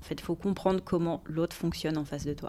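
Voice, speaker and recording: At a fairly quick pace, a woman with a plain, everyday voice speaks at a fairly low pitch with fairly even intonation. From Paris region, France. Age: 40s. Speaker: recruiter. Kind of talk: casual interview. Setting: office.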